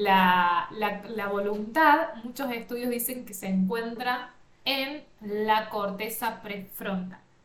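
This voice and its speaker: A woman with a fairly high pitch and ordinary pitch variation speaks amid noticeable background noise and audible room echo. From Argentina, interior of Córdoba (Villa María). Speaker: life coach and podcast host. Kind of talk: self-help podcast monologue.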